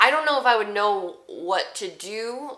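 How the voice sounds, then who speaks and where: Noticeable background noise beneath a woman's lively intonation. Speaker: voice actor. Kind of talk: casual talk to camera.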